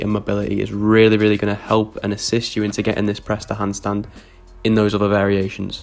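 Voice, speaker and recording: A man talks at a very fast pace in a fairly low voice. Noticeable background noise is present. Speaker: handstand coach. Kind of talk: tutorial. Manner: energetic.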